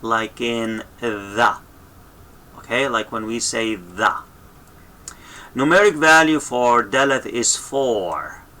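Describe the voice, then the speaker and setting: Over noticeable background noise, a man speaks very slowly at medium pitch with ordinary pitch variation. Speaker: language teacher. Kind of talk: tutorial.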